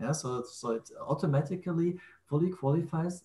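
A man's voice is somewhat breathy, with a dark, mellow tone. He talks at a fairly slow pace. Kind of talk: technical explanation in a group call. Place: home room. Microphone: video call.

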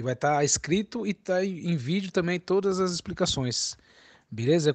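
The voice has ordinary pitch variation. The background is quiet. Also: man. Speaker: music teacher selling cavaquinho and banjo courses. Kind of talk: sales pitch. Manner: casual, chatty, repeats filler tags like "né" and "entendeu".

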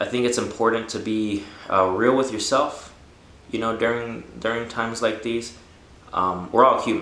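A man talks with fairly even intonation. Audible room echo surrounds his voice. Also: moderate pace. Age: 20s. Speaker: cancer patient. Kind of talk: casual talk to camera. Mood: earnest, calm, hopeful. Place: home room.

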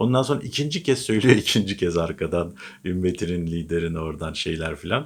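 A man speaks with a very deep, low pitch and an animated tone. The recording is very clean, with a silent background. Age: 40s. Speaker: political commentator. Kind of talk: casual political commentary monologue.

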